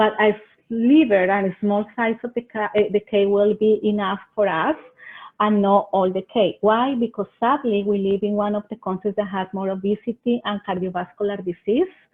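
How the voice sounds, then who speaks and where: A woman with a Colombian accent has a medium pitch. She keeps a moderate pace and fairly even intonation. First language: Spanish. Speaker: extension agent. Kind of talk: webinar presentation. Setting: online webinar. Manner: halting.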